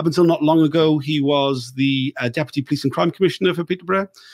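Speaking at a very fast pace, a man uses a fairly high pitch and fairly even intonation, captured in a dry, close sound with no echo. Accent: South Wales. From South Wales. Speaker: podcast host and inquiry reporter. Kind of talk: interview. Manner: casual, halting with many fillers.

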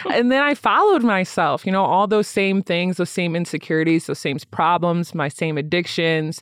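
An unremarkable speaking voice from a woman with an American accent, fairly low in pitch, at a moderate pace with lively intonation and hardly any pauses. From Michigan, US Midwest. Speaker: social worker and podcaster. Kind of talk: casual interview chat.

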